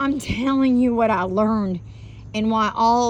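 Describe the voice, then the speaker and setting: With a Southern US accent, a woman speaks at a fairly high pitch and ordinary pitch variation, with audible room echo. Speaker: spiritual vlogger. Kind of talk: casual monologue. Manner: halting.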